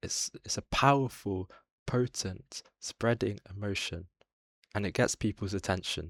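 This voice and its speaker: Heard in a dry, close sound with no echo, a man with a British accent speaks at a moderate pace. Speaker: political commentator. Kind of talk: video essay commentary. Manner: whispered.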